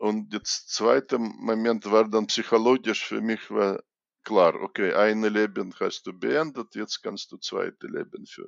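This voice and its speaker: A man with a Russian accent talks at a very slow pace. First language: Russian (speaking German). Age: 60s. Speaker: chess grandmaster and coach. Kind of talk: interview. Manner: halting.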